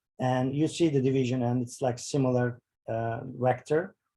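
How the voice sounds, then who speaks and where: A man speaks in a dark, mellow tone that is somewhat breathy. His intonation stays fairly even at a fairly slow pace. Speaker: bioinformatics workshop instructor. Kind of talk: tutorial. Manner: halting, many fillers.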